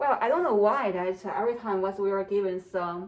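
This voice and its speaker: A woman with a strong non-native accent talks at a fairly quick pace with ordinary pitch variation. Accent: strong non-native accent (self-described). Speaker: UX designer practicing interviews. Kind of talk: solo tutorial-style practice monologue. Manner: hesitant, many fillers; trying to speak at normal speed.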